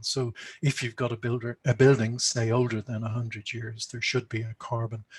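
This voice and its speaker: In a somewhat breathy voice, a man speaks at a moderate pace with monotone, flat intonation, the sound dry and close with no echo. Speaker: conservation speaker. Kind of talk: conference presentation.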